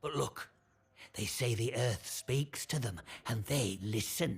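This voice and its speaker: In a put-on character voice with a northern English accent, the speaker sounds gruff at a low-to-middle pitch and a fairly slow pace. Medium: video game. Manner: gruff, suspicious.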